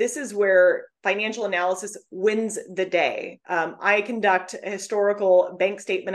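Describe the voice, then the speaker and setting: This woman has a medium-pitched voice, an ordinary speaking voice, with fairly even intonation. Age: 30s. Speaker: divorce financial analyst. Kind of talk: interview.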